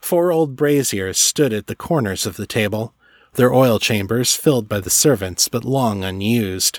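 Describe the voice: The plain reading aloud carries lively intonation.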